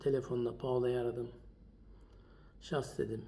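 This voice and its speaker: Dark, mellow, somewhat breathy male speech at a medium pitch. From Germany (Turkish community). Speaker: documentary maker, widower. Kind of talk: testimony.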